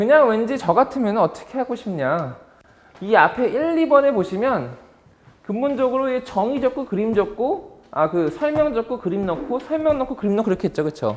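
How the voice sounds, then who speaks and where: A man speaks with an extremely high pitch. His pitch swings very widely. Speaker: exam prep instructor. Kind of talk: lecture. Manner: fast-talking by habit.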